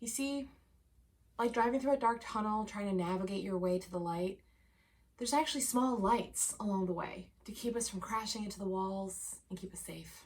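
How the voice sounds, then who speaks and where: A woman at medium pitch with ordinary pitch variation and a moderate pace. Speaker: cheese educator and web series co-host. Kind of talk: scripted news segment. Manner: loud.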